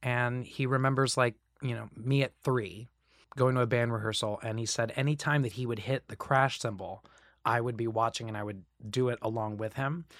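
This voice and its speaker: On a very clean recording with a silent background, a man with an American accent and an ordinary speaking voice talks at a moderate pace and medium pitch with fairly even intonation. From Central Florida (Kissimmee, near Orlando). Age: 30s. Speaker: musical theater actor. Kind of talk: interview.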